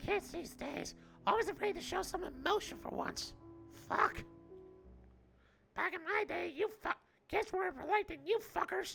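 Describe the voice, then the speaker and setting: An extremely high, put-on character voice speaks with long, frequent pauses. Faint music plays in the background. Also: moderate pace. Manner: crotchety, scolding.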